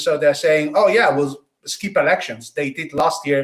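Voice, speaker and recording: A man with an Italian accent. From Italy, Tuscany. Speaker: political podcast host. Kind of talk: political discussion.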